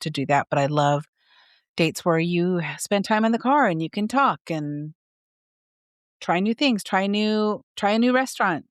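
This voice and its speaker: A woman with an ordinary speaking voice and lively intonation at a moderate pace, in a very clean recording with a silent background and a dry, close sound with no echo. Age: 60s. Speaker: podcast co-host, mother of the other host. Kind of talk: casual chat.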